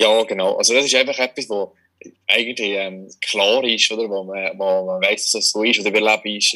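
A man is speaking. His pace is fairly quick. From Switzerland, Valais. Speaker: magician. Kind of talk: casual interview. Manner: halting, many fillers.

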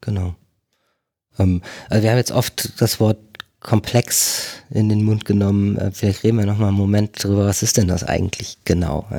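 Heard in a very clean recording with a silent background, a man with a fairly low pitch and a dark, mellow tone speaks at a moderate pace. His intonation is fairly even, broken by long, frequent pauses. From northern Germany, near Bremen. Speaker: agile consultant. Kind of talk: casual interview conversation. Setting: on location at a company office.

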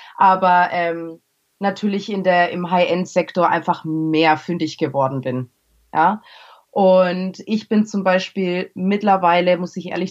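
A woman with a normal speaking voice talks at a fairly slow pace, her fairly low pitch showing ordinary variation. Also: quiet background. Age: 20s. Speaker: make-up artist. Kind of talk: podcast interview.

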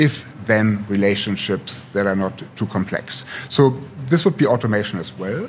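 Over noticeable background noise, a man with a German accent speaks in a fairly low pitch. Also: ordinary pitch variation, moderate pace. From Germany, Potsdam. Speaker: tech startup CEO. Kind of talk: interview.

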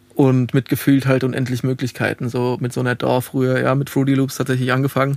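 A man speaks in a monotone with flat intonation. He goes very fast, hardly pausing at all. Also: medium pitch for a man. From Lower Franconia, Bavaria (Alzenau, near Hesse border). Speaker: music producer and sound engineer, festival founder. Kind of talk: casual interview. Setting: recording studio.

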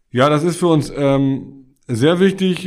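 A man is speaking. His pace is very slow. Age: 50s. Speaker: tax advisor, firm partner. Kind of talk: interview. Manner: hesitant, many filler sounds.

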